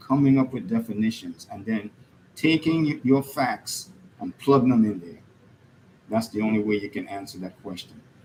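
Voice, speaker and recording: A medium-pitched man's voice in a Caribbean accent. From Caribbean, US Virgin Islands. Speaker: political commentator. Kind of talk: monologue. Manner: animated.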